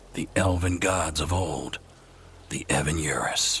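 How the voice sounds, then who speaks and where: With clear background noise, a man puts on a character voice, speaking at a very deep, low pitch and a fairly slow pace. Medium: machinima. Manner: dry, wry.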